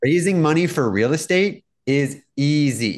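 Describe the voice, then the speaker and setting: Over a quiet background, a man with an unremarkable speaking voice talks at a moderate pace with lively intonation. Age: 40s. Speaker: real estate tech entrepreneur. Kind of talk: interview.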